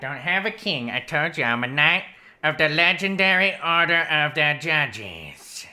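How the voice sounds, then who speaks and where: A female-sounding voice at a middle pitch talks at a moderate pace on a very clean recording with a silent background. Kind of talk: comic overacting. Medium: actual play. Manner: pompous, mock-courtly, comically dense.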